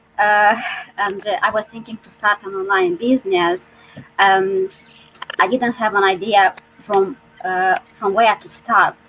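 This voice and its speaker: With noticeable background noise behind her, a woman speaks fairly slowly in a non-native accent at a medium pitch, her intonation fairly even. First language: not English. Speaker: online business owner. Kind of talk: panel discussion. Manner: halting.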